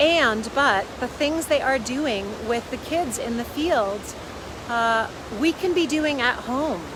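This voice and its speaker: Loud over noticeable background noise, a woman speaks with ordinary pitch variation. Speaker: parenting coach. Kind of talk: casual vlog talk. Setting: outdoors by a river.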